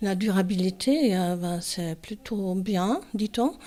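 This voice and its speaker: In a very clean recording with a silent background, a woman speaks at a very slow pace with ordinary pitch variation. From Germany. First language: German (speaking French). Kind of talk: interview. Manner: hesitant, many fillers.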